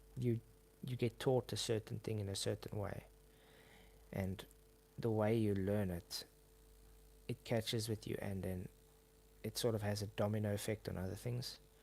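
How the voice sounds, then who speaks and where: Using a South African accent, a man speaks at a moderate pace with a fairly low pitch, a dark, mellow tone, fairly even intonation and long, frequent pauses. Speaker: YouTuber. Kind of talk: casual chat. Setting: live stream. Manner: halting.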